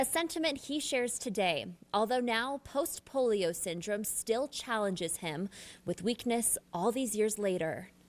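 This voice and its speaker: An unremarkable speaking voice from a woman, fairly high-pitched and lively in intonation, at a fairly slow pace. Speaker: TV news reporter. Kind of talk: TV news report.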